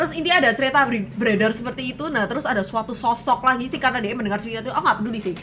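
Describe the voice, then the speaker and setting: A woman with a strong Surabaya accent speaks at a very fast pace and a high pitch with lively intonation. Noticeable background noise is present. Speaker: streamer. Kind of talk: casual chat.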